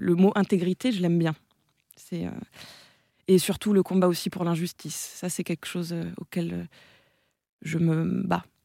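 A woman speaks with a dark, mellow tone at a fairly low pitch, in a monotone, flat way at a fairly slow pace with long, frequent pauses, on a very clean recording with a silent background and a dry, close sound with no echo. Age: 20s. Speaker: theatre director and actress. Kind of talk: radio interview. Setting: radio studio. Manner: hesitant, many fillers.

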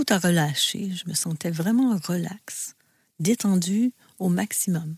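At a very slow pace, a woman with a medium pitch and ordinary pitch variation speaks in a somewhat breathy voice, the sound dry and close with no echo. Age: 60s. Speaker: host's mother, burnout survivor. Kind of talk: personal testimony.

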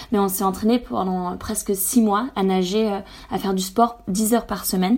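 A woman's dark, mellow tone in a very clean recording with a silent background. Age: 20s. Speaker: environmental association co-founder, swimmer. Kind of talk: radio interview. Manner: hesitant, with frequent fillers.

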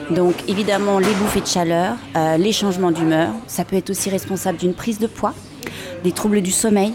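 Noticeable background noise sits behind a woman speaking in a medium pitch with ordinary pitch variation. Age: 40s. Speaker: fitness method creator, former professional dancer. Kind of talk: guided exercise; interview. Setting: café. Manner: halting.

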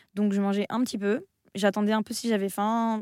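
A woman talks at a fairly quick pace, her pitch medium and her tone dark and mellow. The sound is dry and close, with no echo. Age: 20s. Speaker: content creator and author. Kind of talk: radio interview. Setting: radio studio.

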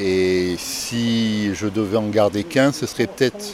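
Very slow speech with ordinary pitch variation sits over noticeable background noise. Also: man. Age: 60s. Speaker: listener. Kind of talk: recorded listener message.

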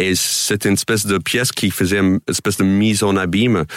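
In a dry, close sound with no echo, a man with an American accent speaks at a moderate pace with a fairly low pitch. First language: English (speaking French). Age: 40s. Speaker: comedian. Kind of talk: radio interview. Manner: halting.

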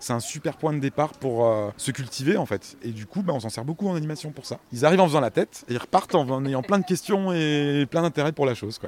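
This man's fairly high voice moves at a fairly quick pace with lively intonation and hardly any pauses. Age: 40s. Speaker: compost workshop facilitator. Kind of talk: interview. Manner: hesitant, many fillers.

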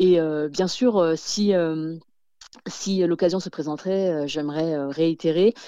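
With a dark, mellow tone and ordinary pitch variation, the speech moves at a very slow pace with long, frequent pauses. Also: woman, fairly low pitch for a woman. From France. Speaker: author and podcaster. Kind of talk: interview. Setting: phone call. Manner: halting, many fillers and repetitions.

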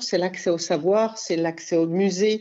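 A woman speaks with fairly even intonation. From France, Cantal. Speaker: botanical gilder, craftswoman. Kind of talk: radio interview. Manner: halting.

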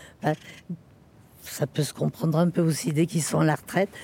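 Her voice is very deep and low, with a dark, mellow tone. This woman's intonation stays fairly even. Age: 80s+. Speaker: hospital visiting volunteer. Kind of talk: testimony.

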